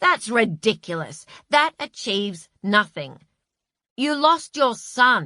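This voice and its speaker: Using a put-on character voice, a woman speaks at a fairly high pitch and a fairly slow pace, with very wide pitch swings. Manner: pompous.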